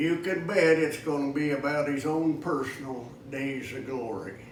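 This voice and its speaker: A man with a fairly high pitch and an American accent, ordinary pitch variation, and noticeable background noise. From Kansas. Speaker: cowboy poet. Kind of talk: poetry reading.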